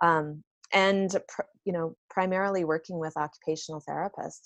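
A plain, everyday voice from a woman, with fairly even intonation at a fairly quick pace. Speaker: online business consultant, occupational therapist. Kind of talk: interview conversation.

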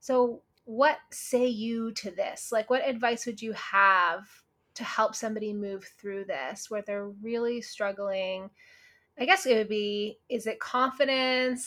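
A woman speaks at a fairly slow pace with a Canadian accent. Her pitch varies in an ordinary way. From Canada. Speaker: podcast host and nutritionist. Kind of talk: podcast interview. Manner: animated.

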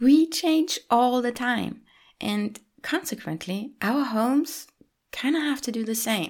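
A woman speaks at a very slow pace with a non-native accent. Her pitch is high and her intonation lively. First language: not English. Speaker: podcast host, lifestyle coach. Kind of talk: solo podcast monologue. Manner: warm, gentle.

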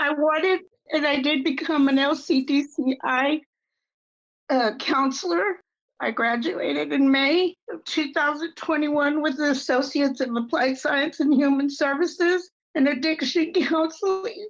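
A woman with an American accent speaks at a very slow pace and a high pitch. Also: ordinary pitch variation. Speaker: addiction recovery counselor. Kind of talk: personal testimony in interview.

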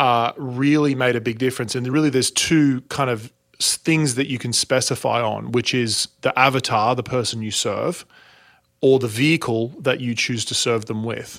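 With an Australian accent, a man speaks at a medium pitch and a moderate pace. The recording is very clean, with a silent background. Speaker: speaking and sales coach. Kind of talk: interview.

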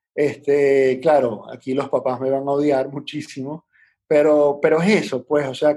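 A man's fairly high voice with a dark, mellow tone, at a fairly slow pace. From Venezuela (Puerto Ordaz, Caracas). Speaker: entrepreneur, restaurant franchise founder. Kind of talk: casual interview.

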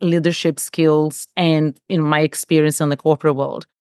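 A woman with a Portuguese accent at a moderate pace, dry and close with no echo against a quiet background. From Brazil. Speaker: executive coach. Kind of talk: casual chat.

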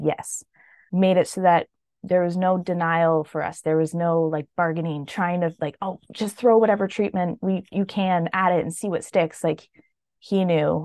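In a Canadian accent, a woman with a normal speaking voice and fairly low pitch talks at a moderate pace with fairly even intonation, recorded dry and close with no echo against a quiet background. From Canada. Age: 30s. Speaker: widow sharing her story. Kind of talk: interview testimony.

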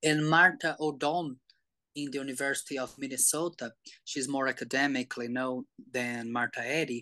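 Speaking in a Portuguese accent, a man with a fairly high voice keeps a moderate pace and fairly even intonation, the sound dry and close with no echo against a quiet background. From Brazil. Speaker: somatics educator. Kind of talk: interview. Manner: halting.

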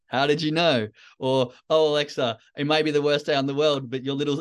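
Over a quiet background, a man with a plain, everyday voice talks fairly quickly at a fairly high pitch. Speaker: podcast host and trading coach. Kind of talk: motivational talk.

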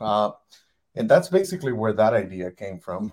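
This man speaks with a Spanish accent. His pitch is medium, with ordinary variation. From Mexico, Monterrey. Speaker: car dealer. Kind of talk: interview. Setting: live video stream.

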